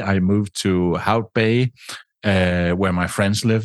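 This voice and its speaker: A man with a Danish accent speaks at a fairly slow pace in a fairly low voice with ordinary pitch variation, in a dry, close sound with no echo over a quiet background. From Denmark. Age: 50s. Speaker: travel podcaster and radio host. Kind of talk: interview. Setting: remote call.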